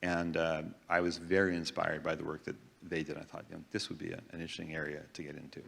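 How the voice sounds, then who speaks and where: Very fast and monotone, a man speaks at a very deep, low pitch with flat intonation. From Newfoundland, Canada. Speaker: geriatrics researcher. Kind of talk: panel discussion. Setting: stage with audience.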